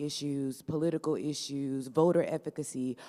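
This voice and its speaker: A woman's very deep, low voice with a dark, mellow tone at a moderate pace, on a very clean recording with a silent background. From Louisiana (Baton Rouge). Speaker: law student and youth voting coordinator. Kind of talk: panel remarks.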